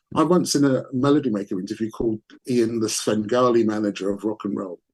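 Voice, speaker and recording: Pitch variation here is ordinary. The delivery rushes along at a very fast pace. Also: man, medium pitch for a man. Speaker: rock bass player. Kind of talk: interview. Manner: soft-spoken; halting, repeats words.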